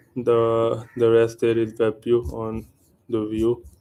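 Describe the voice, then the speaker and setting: Speaking with an Indian accent, a man has a dark, mellow tone, a medium pitch, and monotone, flat intonation. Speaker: programmer. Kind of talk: live coding stream.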